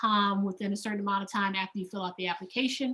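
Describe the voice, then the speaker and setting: Her intonation monotone and flat, a woman speaks at medium pitch. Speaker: program coordinator. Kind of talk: information session presentation. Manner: fast.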